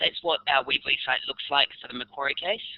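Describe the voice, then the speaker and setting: A man with a New Zealand accent talks at a fairly quick pace. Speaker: university lecturer. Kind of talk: webinar presentation. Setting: online webinar. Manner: hesitant, with fillers and repetitions.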